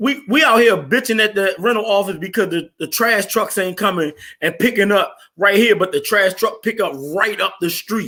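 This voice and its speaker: A man speaks at a moderate pace in a raised, projected voice, his pitch high for a man with ordinary variation and his tone bright and sharp. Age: 40s. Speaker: podcast host. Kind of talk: heated debate. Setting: live stream. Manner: animated.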